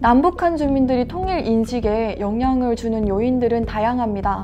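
Against music in the background, a woman speaks in a high voice at a moderate pace with ordinary pitch variation. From North Korea (defected to South Korea). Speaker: university student studying North Korean studies, webinar speaker. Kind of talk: webinar presentation. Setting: online webinar. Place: studio. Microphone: lapel.

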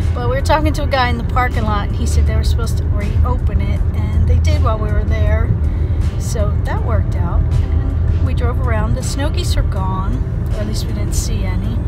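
A woman at a fairly quick pace with ordinary pitch variation, over loud music in the background. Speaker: vlogger. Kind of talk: casual vlog chat. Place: car. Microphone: phone near.

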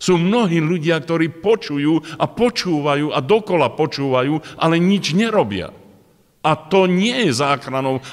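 Over a quiet background, a man speaks with a high pitch and lively intonation. His pace is fairly slow. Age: 60s. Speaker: preacher. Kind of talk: sermon. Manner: halting. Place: hall. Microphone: podium.

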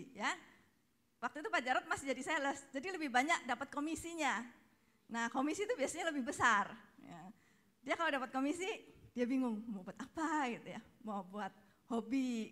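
A woman with a high pitch, a bright, sharp tone and lively intonation, at a fairly quick pace with long, frequent pauses, against a quiet background. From Indonesia. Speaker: speaker's wife, co-presenter; speaker, presenter. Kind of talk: testimony. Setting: stage with audience. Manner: casual, laughing. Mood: cheerful, laughing often. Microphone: handheld.

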